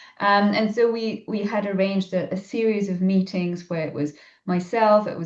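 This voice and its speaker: A woman talks with a Polish accent. Her medium-pitched voice keeps fairly even intonation. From Poland. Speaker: ecologist and science communicator. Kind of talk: podcast interview. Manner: hesitant, many fillers.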